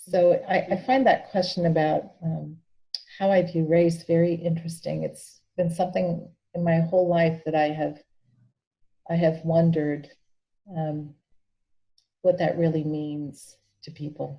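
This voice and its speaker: In an American accent, a woman with a fairly low, somewhat breathy voice speaks in a monotone, flat intonation, leaving long, frequent pauses. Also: fairly slow pace. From Peru and New Mexico. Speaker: bishop. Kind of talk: interview.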